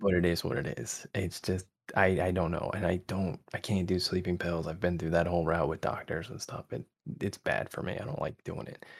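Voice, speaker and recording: A soft-spoken man with a very deep, low voice and an American accent, at a fairly quick pace with ordinary pitch variation. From Connecticut, US. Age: 30s. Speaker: ASMR content creator. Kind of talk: casual chat.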